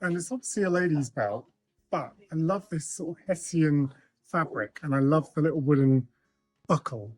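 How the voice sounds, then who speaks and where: Mumbling at a moderate pace, the speaker keeps a lively intonation. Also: man. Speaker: thrifting vlogger. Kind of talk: casual vlog chat. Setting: outdoors and in charity shops.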